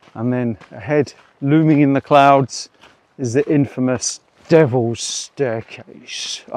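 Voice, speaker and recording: The recording is dry and close with no echo. Intonation stays fairly even. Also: man. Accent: English. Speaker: hiking vlogger. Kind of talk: outdoor vlog narration. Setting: outdoors on a hiking trail.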